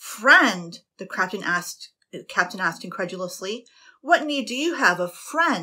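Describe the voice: Against a quiet backdrop, the speaker does plain reading aloud.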